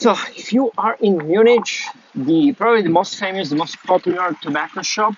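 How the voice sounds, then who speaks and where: There is noticeable background noise as a man talks with an Italian accent. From Italy. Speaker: pipe tobacco YouTuber. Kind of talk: travel vlog. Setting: outdoors in city. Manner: halting, many fillers.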